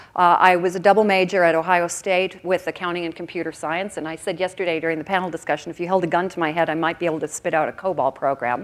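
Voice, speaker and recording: Talking at a very fast pace with hardly any pauses, a woman speaks in an American accent at a fairly low pitch. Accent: American accent noticeable in Australia. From US Midwest (Oconomowoc, Wisconsin). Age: 50s. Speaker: keynote speaker, career consultant. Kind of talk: conference keynote. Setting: stage with audience. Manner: animated.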